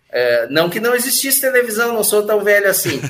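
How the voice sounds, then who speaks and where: With very wide pitch swings, a man speaks at a fairly quick pace over noticeable background noise. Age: 50s. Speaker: advertising professional and author. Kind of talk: casual interview.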